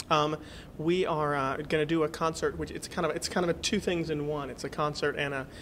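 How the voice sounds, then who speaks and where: Moving at a fairly quick pace, a man talks in an American accent. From North Carolina. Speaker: singer. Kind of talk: interview answer.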